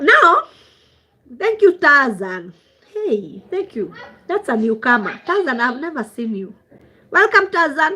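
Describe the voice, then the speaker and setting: A woman with a Kenyan accent uses a raised, projected voice, bright and sharp in tone and high in pitch, with very wide pitch swings, a fairly slow pace and long, frequent pauses. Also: big swings in loudness. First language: Swahili. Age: 40s. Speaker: traditional healer. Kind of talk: livestream chat. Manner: code-switching English and Swahili.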